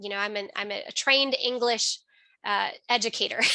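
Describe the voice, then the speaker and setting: Bright and sharp in tone, a woman with a fairly high pitch talks at a moderate pace with ordinary pitch variation. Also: quiet background. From US Midwest, Chicago area. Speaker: financial literacy educator. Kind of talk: webinar presentation.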